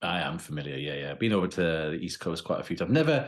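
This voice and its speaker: In a British accent, a man talks at a very fast pace. His pitch is very deep and low. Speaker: professor of criminology. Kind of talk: interview.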